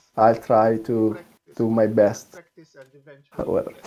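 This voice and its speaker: A man speaks with a strong Italian accent. His pace is very slow. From Italy, Tuscany. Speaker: demoscene programmer. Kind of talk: technical presentation. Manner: halting.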